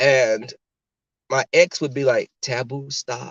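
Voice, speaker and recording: A man speaks with lively intonation and an animated tone. His voice is somewhat breathy. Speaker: podcast host. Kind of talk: casual chat.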